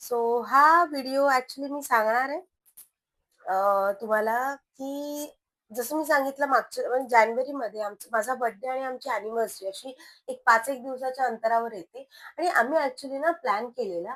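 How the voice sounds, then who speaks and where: High in pitch, a woman's voice shows ordinary pitch variation and big swings in loudness. The recording is very clean, with a silent background. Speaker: mom vlogger. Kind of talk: casual vlog talk to camera.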